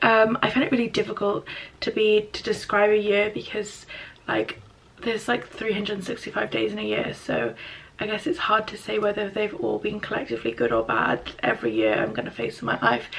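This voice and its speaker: Quiet speech in an English accent at a fairly quick pace. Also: woman. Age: 20s. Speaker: YouTuber, university student. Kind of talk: casual vlog. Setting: at home. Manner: hesitant.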